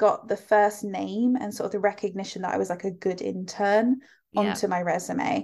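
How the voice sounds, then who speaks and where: A woman speaks at a moderate pace with an English accent and fairly even intonation. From UK. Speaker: fashion school director. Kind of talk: interview conversation.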